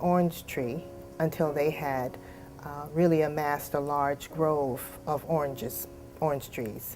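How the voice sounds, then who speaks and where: Music plays in the background as a woman with an American accent speaks in a very deep, low pitch with ordinary pitch variation. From US South, Eatonville, Florida. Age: 60s. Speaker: local storyteller. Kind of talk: oral history interview. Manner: halting.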